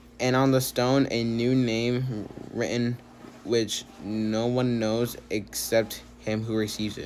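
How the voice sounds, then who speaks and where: Very slowly, a man speaks at medium pitch in a monotone with flat intonation. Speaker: bible reading video host. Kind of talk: reading aloud. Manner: halting, stumbles over words; many filler words.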